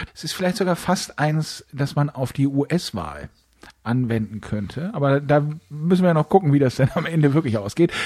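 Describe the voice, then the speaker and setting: Somewhat breathy, the voice moves at a moderate pace with lively intonation and a dark, mellow tone. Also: man, fairly high pitch for a man. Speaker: podcast co-host. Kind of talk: casual chat. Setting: recording from home, remote. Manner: calm, composed.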